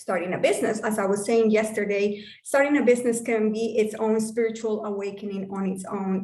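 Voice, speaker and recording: A woman is speaking at a medium pitch. Her pace is moderate. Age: 40s. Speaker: business coach. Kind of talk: online workshop talk. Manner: animated.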